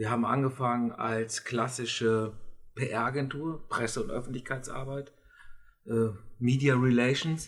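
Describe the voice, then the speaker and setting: A man speaks at medium pitch with fairly even intonation. His pace is fairly slow, broken by long, frequent pauses. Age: 50s. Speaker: communications consultant. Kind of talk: interview. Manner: hesitant, many fillers.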